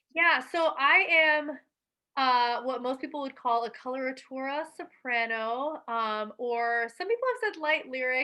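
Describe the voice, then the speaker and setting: A bright, sharp tone carries in a raised, projected voice full of lively intonation. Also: woman. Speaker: opera singer. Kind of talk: interview.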